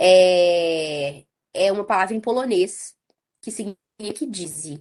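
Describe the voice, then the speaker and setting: Speaking very slowly in a Minas Gerais accent, a woman keeps a medium pitch with ordinary variation and big swings in loudness. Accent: Minas Gerais (mineiro). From Brazil, interior of Minas Gerais (Ubá). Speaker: nonprofit co-founder and director, biochemist. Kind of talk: podcast interview.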